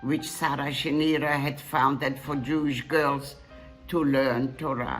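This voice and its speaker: Over music in the background, a woman speaks very slowly in a very deep, low voice. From Poland. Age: 80s+. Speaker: Holocaust survivor. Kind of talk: commencement address.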